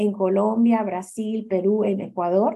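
This woman's dark, mellow tone stays in monotone, flat intonation. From Honduras, San Pedro Sula. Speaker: development finance director. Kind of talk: interview. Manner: hesitant with fillers.

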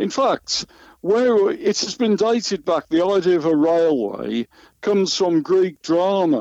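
A man speaks at a high pitch with an English Midlands accent and lively intonation. His loudness stays very even, and the sound is dry and close with no echo. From West Midlands, England (Solihull). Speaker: journalist and magazine editor. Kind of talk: interview. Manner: hesitant, many fillers.

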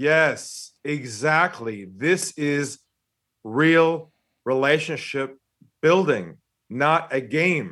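In an American accent, a man speaks at a very slow pace with long, frequent pauses, his fairly high pitch showing ordinary variation and a bright, sharp tone. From San Diego, California. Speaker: sales trainer and author. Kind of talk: casual interview chat.

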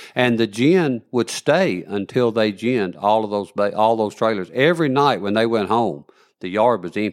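A medium-pitched man with a Southern US accent, on a very clean recording with a silent background. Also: lively intonation, moderate pace. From northern Alabama. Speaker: cotton gin field rep. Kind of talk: casual interview.

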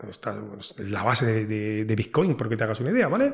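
A man talks at a very fast pace in a somewhat breathy voice with a dark, mellow tone. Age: 40s. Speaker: entrepreneur. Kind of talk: interview.

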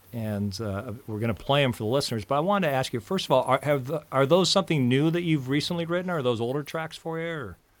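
A man with an American accent talks at a very fast pace. His fairly high pitch carries lively intonation. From Iowa, US Midwest. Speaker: podcast host. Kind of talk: casual interview conversation. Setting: video call.

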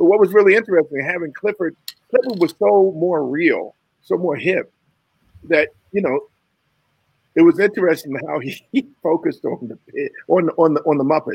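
Delivery is at a moderate pace with lively intonation and long, frequent pauses. The sound is dry and close, with no echo. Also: man, high pitch for a man. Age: 60s. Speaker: puppeteer. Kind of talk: casual chat. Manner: halting.

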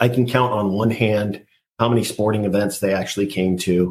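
A somewhat breathy voice with an American accent and ordinary pitch variation. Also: man. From California, Central Coast. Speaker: marine veteran and parenting podcaster. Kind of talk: interview. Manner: halting.

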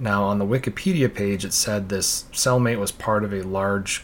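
This man has an unremarkable speaking voice and a fairly slow pace. His pitch varies an ordinary amount. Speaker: true crime podcast host. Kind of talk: true-crime narration, reading case details aloud. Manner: steady, serious storytelling.

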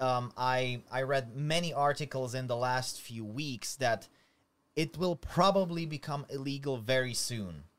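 Fairly slow speech comes in a Slovak accent with ordinary pitch variation. The recording is very clean, with a silent background. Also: man, medium pitch for a man. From Slovakia. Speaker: YouTuber. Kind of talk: casual chat.

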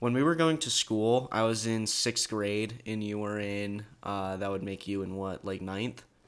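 The recording is very clean, with a silent background. It carries a normal speaking voice with ordinary pitch variation. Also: man, fairly low pitch for a man, fairly slow pace. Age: young. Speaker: podcast host's younger brother. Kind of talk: casual chat.

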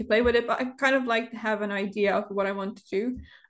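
Very fast talk in a non-native accent, fairly even intonation, quiet background. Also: woman. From Europe. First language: not English. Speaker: Sims builder and content creator. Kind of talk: casual interview chat. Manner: halting, pauses often, many fillers.

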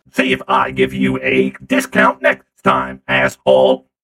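Using a put-on character voice, a man sounds robotic, speaking fairly slowly in a very deep, low pitch with monotone, flat intonation. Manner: irritated, ranting, bigoted against steam robots.

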